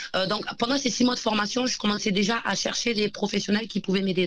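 Using an ordinary speaking voice, a woman talks at a fairly quick pace with medium pitch and ordinary pitch variation. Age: 30s. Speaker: entrepreneur, company founder. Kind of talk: interview.

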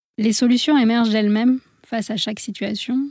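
Dry and close with no echo, a woman's fairly high, dark, mellow voice comes through somewhat breathy at a moderate pace with fairly even intonation. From India (born in France). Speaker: medical doctor and wellness coach, author. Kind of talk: radio interview.

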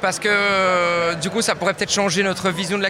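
Over noticeable background noise, a man with a high pitch talks at a fairly quick pace in a raised, projected voice. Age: 20s. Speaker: chef. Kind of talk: interview.

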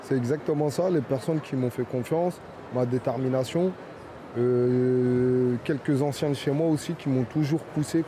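A man talks fairly slowly while noticeable background noise carries on around him. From Paris suburbs, Fontenay-sous-Bois (Val-de-Marne). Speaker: pastry chef. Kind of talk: interview. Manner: hesitant, repetitive.

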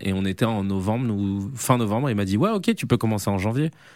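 On a very clean recording with a silent background, a man speaks fairly quickly at a fairly low pitch. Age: 30s. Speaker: comedian and video creator. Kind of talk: interview. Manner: hesitant, many fillers.

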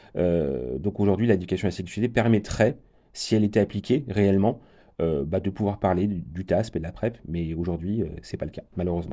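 Very deep and low, the man's voice has a dark, mellow tone and ordinary pitch variation. He keeps a moderate pace against a quiet background. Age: 40s. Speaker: HIV prevention program manager. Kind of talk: radio interview.

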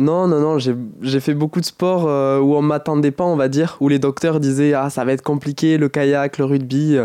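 A man's voice, fairly high in pitch, has a dark, mellow tone and fairly even intonation. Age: 20s. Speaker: paralympic athlete. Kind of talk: interview. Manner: halting, frequent repetitions.

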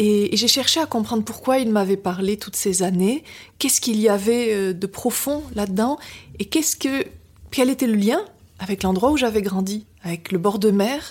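Speaking at a fairly slow pace, a woman with a fairly high, somewhat breathy voice uses ordinary pitch variation. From Biarritz, French Basque coast. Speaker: novelist. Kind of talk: interview. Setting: at the guest's home in Paris.

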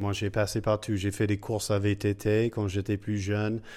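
A man with an English accent and a fairly low pitch. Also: very clean recording, silent background. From United States. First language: English (speaking French). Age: 40s. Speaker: cycling café co-founder. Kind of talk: interview. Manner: halting, many hesitations.

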